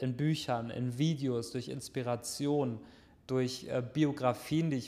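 This man's voice sits at medium pitch, with a dark, mellow tone. His intonation is monotone and flat, and the recording is very clean with a silent background. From Germany, Lower Rhine near Düsseldorf. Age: 20s. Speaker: online entrepreneur and podcast host. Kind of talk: solo podcast monologue. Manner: casual with many filler sounds.

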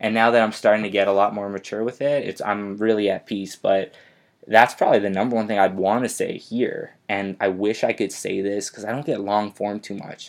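The voice is an unremarkable speaking voice. It moves at a fairly quick pace with fairly even intonation. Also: man, fairly low pitch for a man. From Canada, Winnipeg. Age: 20s. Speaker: DJ and recording artist. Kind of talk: interview. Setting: studio.

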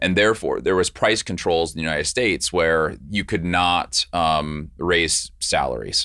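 In a very clean recording with a silent background, a man talks at a moderate pace with hardly any pauses and very even loudness. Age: 40s. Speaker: healthcare startup founder. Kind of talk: podcast interview.

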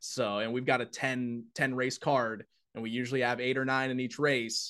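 A plain, everyday voice at a moderate pace, with fairly even intonation and a quiet background. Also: man. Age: 20s. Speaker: horse racing track announcer. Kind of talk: casual interview.

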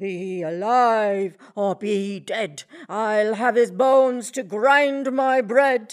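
A woman puts on a character voice with a fairly high pitch. She talks at a very slow pace. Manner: gruff, menacing, demanding.

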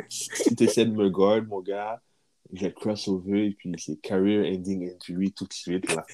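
Flat and monotone, a man speaks at a very slow pace in a fairly low voice. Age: 30s. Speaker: podcast co-host. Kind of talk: casual chat.

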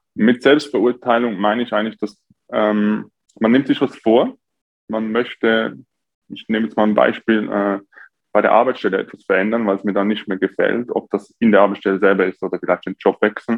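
With an unremarkable speaking voice, a man talks fairly quickly at a fairly low pitch and with fairly even intonation. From Switzerland, near Zurich. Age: 20s. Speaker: coach for taking action. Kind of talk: podcast interview.

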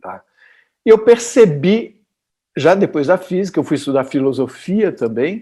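This very clean recording, with a silent background, features a man speaking. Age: 60s. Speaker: physicist. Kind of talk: interview.

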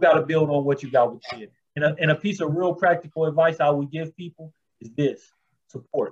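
A man talks at a fairly quick pace in a plain, everyday voice with fairly high pitch. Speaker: formerly incarcerated reentry advocate. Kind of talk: interview.

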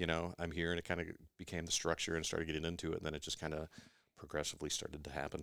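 A man with a US Midwestern accent speaks very fast in a very deep, low voice, on a very clean recording with a silent background. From Iowa, US Midwest. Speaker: gym member. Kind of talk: podcast interview.

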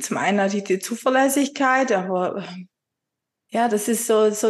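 This woman's voice sits fairly high. Its pitch shifts by an ordinary amount. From Upper Swabia, southern Germany. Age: 40s. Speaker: virtual assistant, former insurance clerk. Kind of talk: being coached, conversational. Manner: hesitant, many fillers.

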